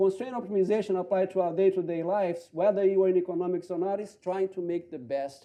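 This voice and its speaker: A man talks with a Portuguese accent at a high pitch. His tone is dark and mellow. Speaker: economist. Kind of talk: panel talk. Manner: halting.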